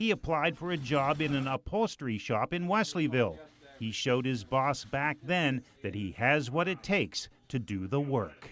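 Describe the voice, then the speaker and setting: Here a man speaks at a fairly high pitch. His pitch swings very widely. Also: moderate pace. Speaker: TV feature reporter. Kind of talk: TV news feature narration.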